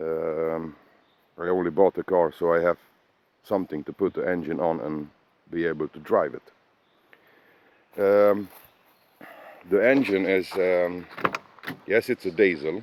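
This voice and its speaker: With long, frequent pauses and a fairly slow pace, a man speaks in a very deep, low pitch with a non-native accent, the sound dry and close with no echo. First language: Swedish. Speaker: car hobbyist. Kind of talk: casual walkaround video. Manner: halting, many fillers.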